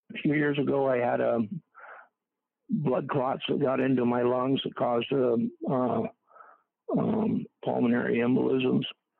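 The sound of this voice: A man at medium pitch, gravelly and with vocal fry, at a fairly slow pace with little pitch movement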